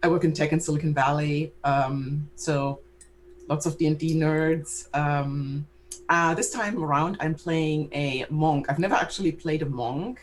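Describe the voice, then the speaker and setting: A woman with a very deep, low pitch and a non-native accent, fairly slow in pace, with fairly even intonation. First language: not English. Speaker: tabletop game player. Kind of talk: casual chat.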